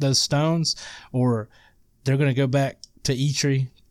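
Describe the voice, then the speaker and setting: With a Southern US accent, a man speaks at a moderate pace in a fairly high pitch and a monotone, flat intonation. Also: very clean recording, silent background. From Mississippi. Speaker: guest gamer. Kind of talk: casual chat.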